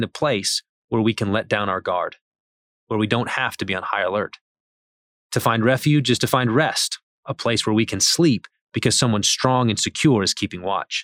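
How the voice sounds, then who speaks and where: Heard in a very clean recording with a silent background and a dry, close sound with no echo, a man has a normal speaking voice at medium pitch, with ordinary pitch variation and a moderate pace. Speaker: author reading his article aloud. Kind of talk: scripted devotional reading with fervent, pleading prayer passages. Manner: earnest, measured, solemn; fervent, pleading in prayer.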